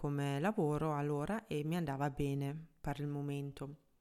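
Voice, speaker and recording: Speaking with a German accent at a moderate pace, a woman has a very deep, low voice, captured on a very clean recording with a silent background. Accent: German accent in Italian. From Germany. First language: German (speaking Italian). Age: 30s. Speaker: app founder and podcast host. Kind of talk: solo podcast monologue. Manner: hesitant, with fillers.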